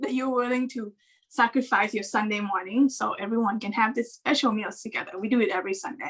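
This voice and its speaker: This woman talks at a fairly quick pace with a high pitch and ordinary pitch variation. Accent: Thai. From Thailand. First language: Thai. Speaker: animation story artist. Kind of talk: casual chat. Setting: video call.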